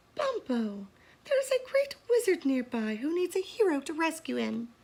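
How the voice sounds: Doing a put-on character voice, a female-sounding speaker goes extremely high in pitch with very wide pitch swings at a moderate pace.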